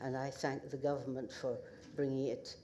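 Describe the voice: A woman with a northeast Scottish accent has an extremely low pitch and a slightly mellow tone.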